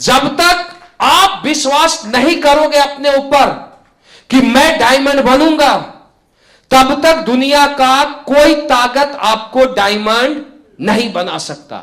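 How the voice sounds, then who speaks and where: A man's extremely high-pitched voice, bright and sharp in tone, with ordinary pitch variation. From Bihar, India. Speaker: life coach and direct selling trainer; former army soldier. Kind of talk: motivational training speech.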